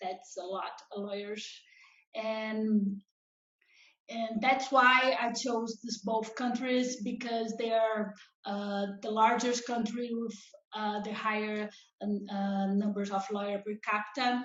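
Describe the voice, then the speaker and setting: Very slowly, a woman speaks in a Brazilian Portuguese accent at a fairly high pitch. Her intonation is monotone and flat, and audible room echo surrounds the voice. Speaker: law professor. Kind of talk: conference presentation. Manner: halting, many fillers.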